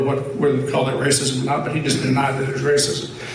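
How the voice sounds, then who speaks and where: A man with an American accent talks at a very fast pace in a fairly high pitch, with audible room echo and noticeable background noise. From rural eastern Oklahoma. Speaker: pastor. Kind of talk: conference talk.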